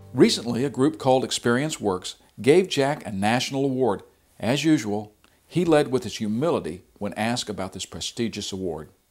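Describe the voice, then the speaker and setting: A man speaks in a normal speaking voice at a medium pitch. His pace is moderate and his intonation lively. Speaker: documentary host. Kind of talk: documentary narration.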